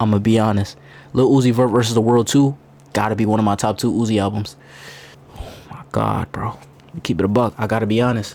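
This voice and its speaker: At a very fast pace, a man with a medium pitch speaks in an animated tone. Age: 20s. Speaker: streamer reacting to a video. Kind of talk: reaction stream commentary.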